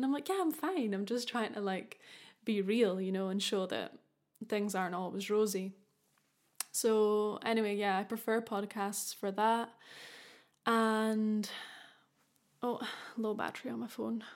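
A woman with a Scottish accent speaks at a fairly slow pace and a fairly high pitch, leaving long, frequent pauses. Her intonation is fairly even, and the recording is very clean with a silent background. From Scotland. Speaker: podcast host. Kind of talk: casual monologue.

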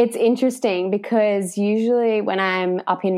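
In an Australian accent, a woman speaks with fairly even intonation. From Australia, Victoria (Warrnambool). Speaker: naturopath and nutritionist. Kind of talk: casual interview.

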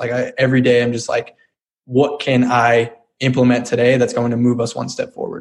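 A man with an American accent, medium in pitch, at a fairly quick pace. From Colorado. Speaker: entrepreneur. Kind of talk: interview.

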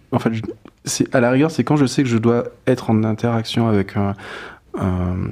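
A man's dark, mellow tone carries his words at a fairly slow pace. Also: medium pitch for a man, ordinary pitch variation, very clean recording, silent background. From Guadeloupe. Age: young. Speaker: fashion designer. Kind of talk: interview. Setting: live stream. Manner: hesitant, many fillers.

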